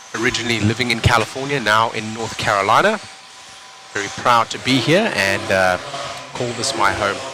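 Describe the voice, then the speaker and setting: With music in the background, a man speaks in a South African accent. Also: medium pitch for a man, ordinary pitch variation, fairly quick pace. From South Africa, Cape Town. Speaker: RC race commentator. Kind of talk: live commentary; casual chat with viewers. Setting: live stream.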